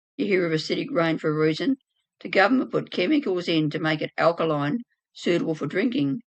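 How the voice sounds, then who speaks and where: Racing along at a very fast pace, a woman with a fairly low pitch swings very widely in pitch. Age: 70s. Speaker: author and wellness business owner. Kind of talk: interview.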